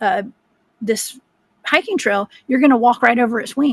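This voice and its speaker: In a Southern US accent, a woman speaks at a moderate pace. Her pitch is high. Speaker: cryptid researcher. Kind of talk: interview storytelling.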